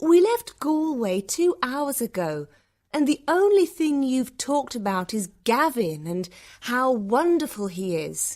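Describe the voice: A woman's put-on character voice, high-pitched and slightly mellow, with big pitch swings, a slow pace and few pauses, on a very clean recording with a silent background.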